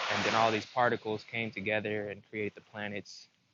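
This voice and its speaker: A man speaks at a fairly low pitch. Background noise is noticeable. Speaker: spiritual self-help vlogger. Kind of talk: casual monologue. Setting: outdoors by the sea.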